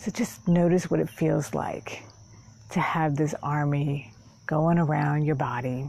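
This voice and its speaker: Dark, mellow and somewhat breathy, a woman's very deep, low voice carries a calm, soothing tone with ordinary pitch variation and very even loudness in a dry sound with no echo. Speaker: meditation guide and therapist. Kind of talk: guided meditation. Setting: outdoors in a park, filmed on camera. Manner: slow, calm, soothing. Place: garden. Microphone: phone near.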